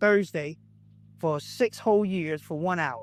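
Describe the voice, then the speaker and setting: A man with a Southern US accent, a high pitch, ordinary pitch variation and a moderate pace. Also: very clean recording, silent background. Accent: Southern US (Georgia). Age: 60s. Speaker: pastor. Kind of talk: testimony.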